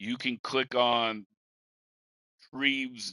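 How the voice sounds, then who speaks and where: A man with an American accent and a bright, sharp tone, ordinary pitch variation, dry, close sound with no echo and a quiet background. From rural eastern Washington. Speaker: podcast host. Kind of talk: casual chat.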